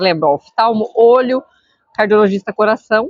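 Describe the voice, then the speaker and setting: A woman's fairly high voice moves along at a fairly quick pace. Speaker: school psychologist. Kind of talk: interview answering student questions. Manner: fast.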